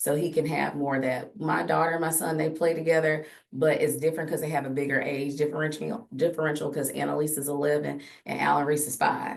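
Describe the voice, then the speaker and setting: In a room with audible echo, a woman with a very deep, low pitch speaks at a very fast pace with fairly even intonation. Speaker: podcast host; teacher. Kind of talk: casual chat. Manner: loud.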